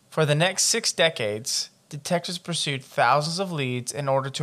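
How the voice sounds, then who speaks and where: Using a plain, everyday voice, a man talks at a moderate pace. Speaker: podcast host. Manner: reads report text steadily and evenly, then breaks into profane, exasperated commentary.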